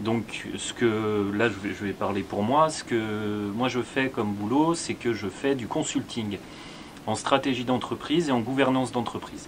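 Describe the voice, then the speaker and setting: Noticeable background noise sits behind a man's medium-pitched voice. He talks at a fairly slow pace with ordinary pitch variation. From France, Lyon. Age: 30s. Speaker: business consultant, co-host. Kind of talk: casual Q&A chat. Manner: measured, explanatory.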